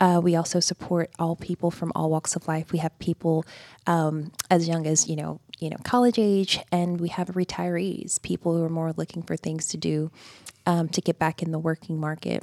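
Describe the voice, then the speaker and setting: A woman talks at a moderate pace in a Georgia accent, her fairly low voice dark and mellow. Her intonation is fairly even, and the sound is dry and close with no echo. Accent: Southern American (Georgia). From US South, rural Georgia. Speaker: human resources executive. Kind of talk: radio interview. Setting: studio.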